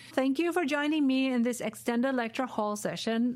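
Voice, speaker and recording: A woman with a German accent. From Germany. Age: 40s. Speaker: podcast host and professor. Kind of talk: solo podcast monologue. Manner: animated.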